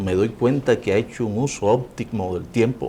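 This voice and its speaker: Noticeable background noise accompanies a man with a Cuban accent. His pitch is medium, with ordinary variation. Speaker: interviewer. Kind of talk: interview.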